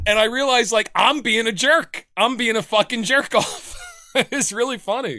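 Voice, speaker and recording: A man's raised, projected voice, extremely high in pitch, with very even loudness, ordinary pitch variation and a moderate pace. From New Jersey. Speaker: podcast host. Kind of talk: casual chat.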